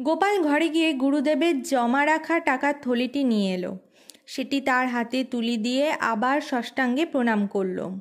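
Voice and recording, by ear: On a very clean recording with a silent background, a woman with a high pitch talks at a moderate pace with ordinary pitch variation.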